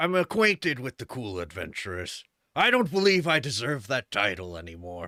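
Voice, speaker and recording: Putting on a character voice, a man speaks at a medium pitch and moderate pace, his pitch swinging very widely. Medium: actual play. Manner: halting, earnest.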